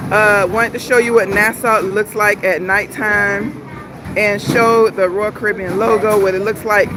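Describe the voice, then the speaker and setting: This woman's medium-pitched voice keeps a fairly even intonation over noticeable background noise. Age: 50s. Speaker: travel vlogger. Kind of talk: casual livestream chat. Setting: on a cruise ship.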